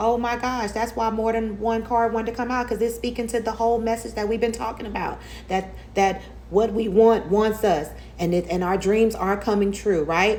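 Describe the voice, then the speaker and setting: The voice belongs to a woman with a fairly high pitch. Audible room echo surrounds her speech. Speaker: tarot reader. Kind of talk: tarot reading monologue. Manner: animated; fast.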